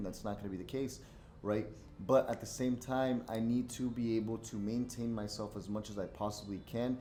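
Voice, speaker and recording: A man's medium-pitched voice, dark and mellow in tone and monotone in intonation, with audible room echo. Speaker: forex day trader. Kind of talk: live trading commentary. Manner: casual, filler-heavy.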